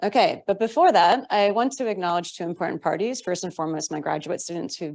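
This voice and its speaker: Over a quiet background, a woman speaks with very wide pitch swings. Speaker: assistant professor. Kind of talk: academic conference talk. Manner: fast; hesitant, many fillers.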